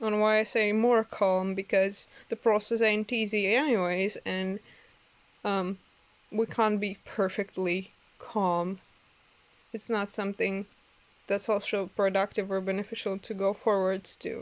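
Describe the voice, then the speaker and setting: With long, frequent pauses, a woman with a non-native accent speaks fairly slowly at a medium pitch in a monotone, flat intonation. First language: not English. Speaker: tarot reader. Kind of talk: oracle card reading. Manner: halting, many fillers.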